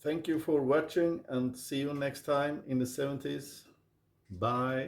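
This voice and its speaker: A man with a Swedish accent, fairly even intonation and a fairly slow pace. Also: fairly high pitch for a man. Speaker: cooking channel host. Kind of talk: cooking video presentation.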